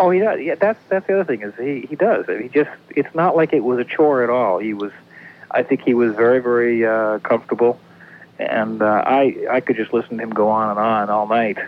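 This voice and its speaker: A man with a normal speaking voice at a medium pitch, a fairly quick pace and ordinary pitch variation. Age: 40s. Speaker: radio caller. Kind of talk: casual chat. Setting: phone call.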